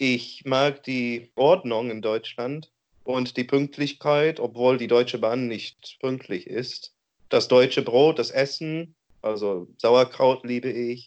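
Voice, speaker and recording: A man with an English accent talks very slowly at a medium pitch. His intonation is fairly even. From Oregon, US. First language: English (speaking German). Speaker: interviewee. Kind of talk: interview. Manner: halting.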